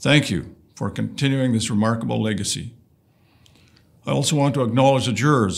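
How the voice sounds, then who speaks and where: This man speaks at a fairly quick pace with vocal fry and ordinary pitch variation. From northern Saskatchewan, Canada. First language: Woodland Cree. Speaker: lieutenant governor. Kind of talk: recorded formal greeting. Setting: pre-recorded message. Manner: formal.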